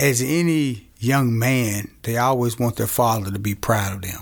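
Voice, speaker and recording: The speaker has an Arkansas accent and fairly even intonation. The recording is very clean, with a silent background. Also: man. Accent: Southern US (Arkansas). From Arkansas, Camden. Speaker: small business owner. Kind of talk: interview, personal testimony.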